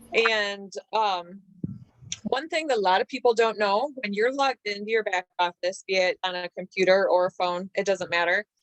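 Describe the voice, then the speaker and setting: An unremarkable speaking voice moves at a moderate pace with ordinary pitch variation, in dry, close sound with no echo. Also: woman, medium pitch for a woman. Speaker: network marketing team leader. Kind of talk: online training session.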